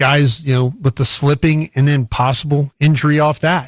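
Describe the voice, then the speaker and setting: This man talks at a moderate pace in a fairly high, somewhat breathy voice with monotone, flat intonation, and the sound is dry and close with no echo. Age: 60s. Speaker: radio football analyst. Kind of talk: live broadcast commentary.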